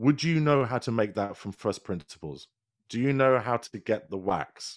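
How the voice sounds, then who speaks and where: In a dry, close sound with no echo and a very clean recording with a silent background, a man with a British accent talks at a moderate pace in a medium-pitched voice with lively intonation. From England. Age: 40s. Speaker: podcast producer and presenter. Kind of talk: casual interview chat.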